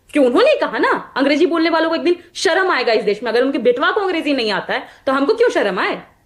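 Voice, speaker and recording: Her pitch high and swinging very widely, a woman speaks with hardly any pauses. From Magadh region, Bihar. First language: Magahi (speaking Hindi). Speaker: party spokesperson. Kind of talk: heated debate.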